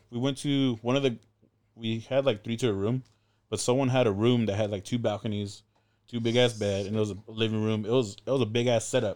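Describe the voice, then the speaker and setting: A man with an American accent talks at a fairly quick pace in a medium pitch, over a quiet background. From Southern California, Inland Empire. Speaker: former maritime academy student and traveler. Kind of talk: casual chat. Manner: animated.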